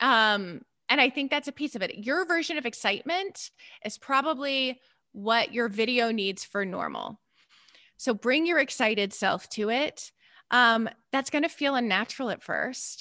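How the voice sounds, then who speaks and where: A high-pitched woman with an American accent, bright and sharp in tone, lively intonation at a moderate pace, on a very clean recording with a silent background. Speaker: therapist and business coach. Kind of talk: interview.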